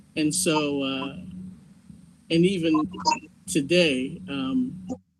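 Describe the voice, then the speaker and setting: Amid audible room echo, a man speaks very slowly in a fairly high voice with very wide pitch swings. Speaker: community participant. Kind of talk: group discussion.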